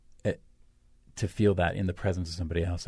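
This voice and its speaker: This man's pitch is very deep and low, with ordinary variation. His tone is dark, mellow and somewhat breathy. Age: 50s. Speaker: host's romantic partner. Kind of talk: intimate casual conversation. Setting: radio studio.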